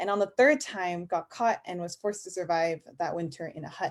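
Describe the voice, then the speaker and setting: Her pace is fairly quick. The woman speaks with an American accent. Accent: Korean American. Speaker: fellowship graduate. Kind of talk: personal speech.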